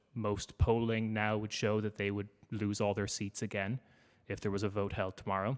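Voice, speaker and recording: The man has an Irish accent and a fairly low pitch, delivered in a monotone, flat way at a moderate pace. The recording is very clean, with a silent background. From Ireland. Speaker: podcaster. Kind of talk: panel talk.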